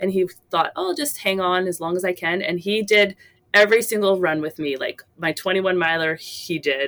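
With a normal speaking voice, a woman talks at medium pitch and a moderate pace, her pitch varying an ordinary amount. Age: 40s. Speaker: phys ed teacher and amateur marathon runner. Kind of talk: interview storytelling.

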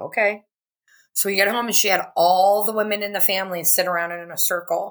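The recording is very clean, with a silent background. A woman talks at a fairly quick pace in a normal speaking voice at medium pitch. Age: 50s. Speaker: witch, healer and psychic medium. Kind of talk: casual chat.

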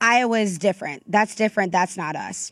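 A woman speaks at a fairly quick pace with an American accent. She has a plain, everyday voice, and the recording is very clean with a silent background. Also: dry, close sound with no echo. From US South, North Florida. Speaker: political reporter. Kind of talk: interview.

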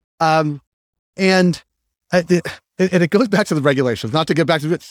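Recorded dry and close with no echo, very clean against a silent background, a man with an American accent speaks at a moderate pace and a fairly high pitch. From Boston area. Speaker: podcast host, interviewer. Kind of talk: interview; scripted narration. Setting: live at a trade show. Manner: halting.

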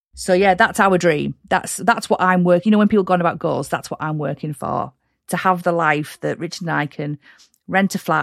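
A woman talks fairly quickly in a fairly low voice with ordinary pitch variation. The recording is very clean, with a silent background and a dry, close sound with no echo. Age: 40s. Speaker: virtual and social media assistant. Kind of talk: interview, casual chat. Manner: energetic.

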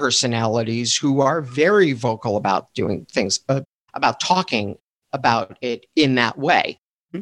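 With lively intonation, a man speaks at a moderate pace and medium pitch in an unremarkable speaking voice. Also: dry, close sound with no echo. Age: 50s. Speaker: student loan attorney. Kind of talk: interview conversation.

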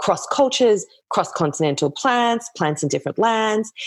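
On a very clean recording with a silent background, a woman speaks in an Australian accent with lively intonation. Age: 30s. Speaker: herbalist and author. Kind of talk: casual chat.

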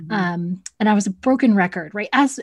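Somewhat breathy and medium in pitch, a woman talks on a very clean recording with a silent background. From Texas (Cedar Hill, near Dallas). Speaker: instructional coach, video coaching specialist. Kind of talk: interview.

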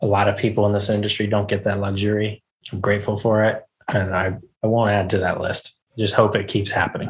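Somewhat breathy and very fast, the voice carries an American accent and a monotone, flat intonation. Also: man, fairly low pitch for a man. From US South, Charleston, South Carolina. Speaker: chef. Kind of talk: casual interview.

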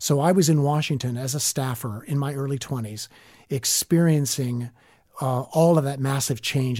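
A man with an American accent speaks at a fairly quick pace in a fairly high, somewhat breathy voice. His tone is dark and mellow, with ordinary pitch variation. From US South (southern Alabama, northwest Florida). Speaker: leadership coach. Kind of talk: interview.

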